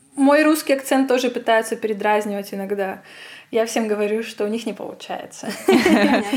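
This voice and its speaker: A Russian accent over noticeable background noise. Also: woman, fairly high pitch for a woman, ordinary pitch variation, moderate pace. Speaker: physicist and science writer. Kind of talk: casual interview chat.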